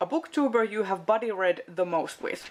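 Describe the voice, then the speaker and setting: With a Finnish accent, a woman speaks at a fairly slow pace. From Finland. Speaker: book video creator. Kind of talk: casual chat. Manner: hesitant, many fillers.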